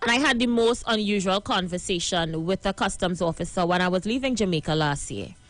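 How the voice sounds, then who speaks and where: A woman with a Trinidadian accent speaks at a fairly quick pace and medium pitch, with ordinary pitch variation. Music plays in the background. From Trinidad and Tobago. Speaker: live stream host. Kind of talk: live stream monologue. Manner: animated.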